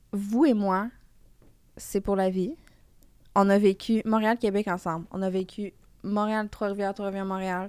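In a very clean recording with a silent background, a woman speaks at a fairly slow pace and medium pitch, with fairly even intonation and long, frequent pauses. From Quebec. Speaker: TV host and content creator. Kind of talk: casual chat.

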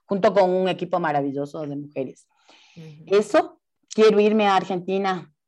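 A woman speaks in a plain, everyday voice. Her pace is moderate and her intonation fairly even. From Ecuador. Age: 40s. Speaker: actress and theatre director. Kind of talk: casual interview.

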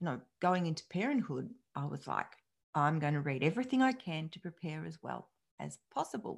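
The intonation is lively, with vocal fry throughout. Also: woman. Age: 50s. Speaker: psychologist and podcast host. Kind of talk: solo podcast monologue.

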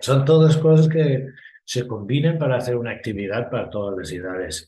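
With lively intonation and a somewhat breathy voice, a man talks at a moderate pace amid audible room echo. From Ireland. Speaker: festival sustainability manager. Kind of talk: interview.

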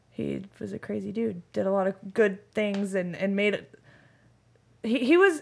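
With an American accent, a woman talks at a moderate pace in a plain, everyday voice of medium pitch. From Nevada, Sun Valley. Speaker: bartender and barback. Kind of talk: casual chat.

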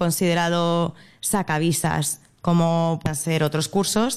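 The pitch of this woman's voice sits fairly low. It rises and falls in an ordinary way. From Spain, Madrid. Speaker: early childhood educator. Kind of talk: interview. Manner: hesitant, with fillers.

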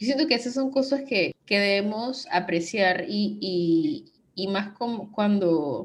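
Lively intonation marks this woman's medium-pitched speech. There is a somewhat breathy quality to it. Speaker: podcast host. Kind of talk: casual chat.

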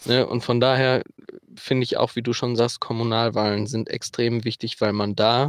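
A man's medium-pitched voice at a moderate pace, flat and monotone, with a dry, close sound and no echo. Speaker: returning podcast guest. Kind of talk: casual chat. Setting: remote call from a car over Wi-Fi.

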